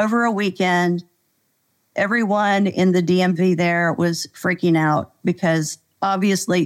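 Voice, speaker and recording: A woman speaks with an American accent in a normal speaking voice, medium in pitch, at a fairly slow pace with fairly even intonation. The recording is very clean, with a silent background. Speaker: executive coach. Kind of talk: casual interview chat.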